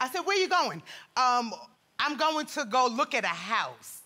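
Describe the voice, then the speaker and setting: In a New York accent, a woman raises and projects her bright, sharp, animated voice, her pitch swinging very widely. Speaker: litigant in a TV court case. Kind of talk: courtroom testimony. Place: studio. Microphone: lapel.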